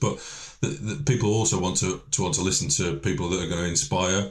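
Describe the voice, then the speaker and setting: Speaking at a fairly quick pace, a man with a Lancashire accent has a very deep, low pitch and a somewhat breathy quality. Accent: northern English (Lancashire). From northern England, Lancashire. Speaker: event organiser director. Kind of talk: podcast interview. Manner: halting, many repetitions.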